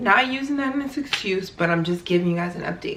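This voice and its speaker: Audible room echo and noticeable background noise surround the lively intonation. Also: woman. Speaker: professional basketball player, vlogger. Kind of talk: casual vlog update. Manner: loud; conversational with many fillers.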